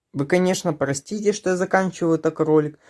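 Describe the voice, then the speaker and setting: The recording is very clean, with a silent background. The voice belongs to a man. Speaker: YouTube vlogger. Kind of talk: casual vlog commentary.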